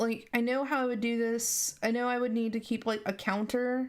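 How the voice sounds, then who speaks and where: A quiet woman speaks fairly slowly at a fairly high pitch with monotone, flat intonation on a very clean recording with a silent background. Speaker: app developer streamer. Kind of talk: live coding stream. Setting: live stream. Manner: halting.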